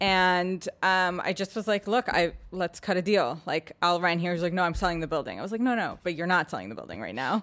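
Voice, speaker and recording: In a very clean recording with a silent background, a woman with an unremarkable speaking voice talks at a fairly quick pace and fairly low pitch, with ordinary pitch variation and hardly any pauses. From New York City, Manhattan. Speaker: real estate agent. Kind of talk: casual chat.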